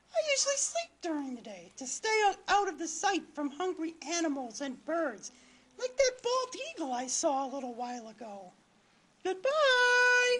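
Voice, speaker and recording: A squeaky, cartoonish character voice moves at a fairly slow pace with very wide pitch swings. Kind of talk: children's puppet show. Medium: puppet show. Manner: playful, chatty.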